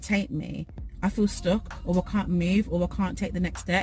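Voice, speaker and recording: A woman talks at a medium pitch and a moderate pace. Noticeable background noise can be heard. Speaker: motivational YouTuber. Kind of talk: motivational talk. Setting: in a car. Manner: loud.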